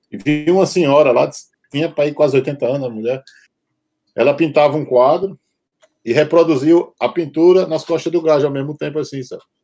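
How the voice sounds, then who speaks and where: With a Brazilian accent, a man at a fairly high pitch talks fairly quickly in a dark, mellow tone. His intonation is fairly even, broken by long, frequent pauses. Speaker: tattoo artist and punk musician. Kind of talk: casual chat.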